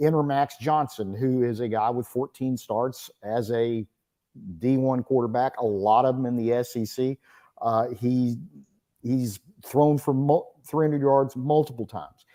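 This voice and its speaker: In an East Texas accent, a man with a dark, mellow tone speaks at a fairly slow pace with fairly even intonation. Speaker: college football reporter. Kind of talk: sports talk radio interview.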